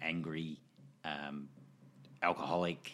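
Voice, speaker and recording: A man speaks with an Australian accent. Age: 40s. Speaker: fight trainer and gym owner. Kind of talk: casual interview chat.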